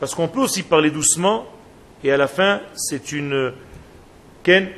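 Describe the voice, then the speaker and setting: This man's voice is fairly high, and he talks fairly slowly with ordinary movement in his pitch. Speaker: rabbi teaching a Torah class. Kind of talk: lecture. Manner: slow, soft, with deliberate pauses; repetitive, spiraling delivery.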